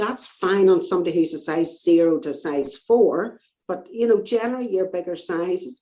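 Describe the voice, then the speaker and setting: A woman with an Irish accent has a dark, mellow tone. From Northern Ireland. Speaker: fashion designer and knitwear business owner. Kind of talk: casual interview chat.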